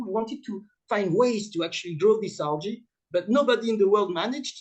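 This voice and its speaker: A man with a French accent and a high pitch at a fairly quick pace. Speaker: startup founder and CEO. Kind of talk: conference presentation. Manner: halting, many fillers; fast.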